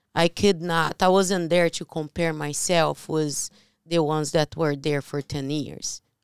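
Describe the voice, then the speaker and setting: In a Portuguese accent, a woman speaks fairly slowly in a very deep, low voice with monotone, flat intonation, the sound dry and close with no echo on a very clean recording with a silent background. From Brazil. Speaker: podcast co-host, real estate investor. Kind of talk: casual chat.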